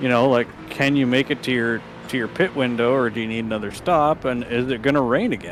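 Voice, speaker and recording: Over noticeable background noise, a man speaks fairly quickly with fairly even intonation. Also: medium pitch for a man. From Canadian prairies. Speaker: sim racing commentator. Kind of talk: live commentary.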